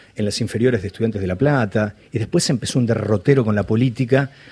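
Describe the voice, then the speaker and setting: This man's medium-pitched voice is somewhat breathy and dark and mellow in tone, with ordinary pitch variation. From Argentina, Balcarce (Buenos Aires province). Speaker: writer and journalist. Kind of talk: interview. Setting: studio. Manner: halting, many repetitions.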